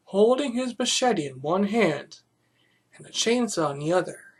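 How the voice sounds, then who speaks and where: Dramatic tone from a man doing a put-on character voice at a moderate pace. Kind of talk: horror narration. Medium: solo performance. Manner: dramatic, halting.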